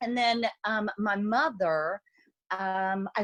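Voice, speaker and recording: A woman speaks with an American accent. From Texas. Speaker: consultant. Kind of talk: interview. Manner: animated.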